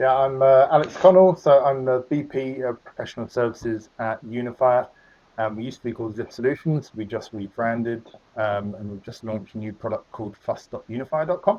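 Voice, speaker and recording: The speaker has an English accent and a fairly quick pace with ordinary pitch variation. Loudness shifts in big swings. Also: man, medium pitch for a man. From England, southwest London. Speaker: business executive. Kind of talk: interview. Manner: hesitant, many fillers.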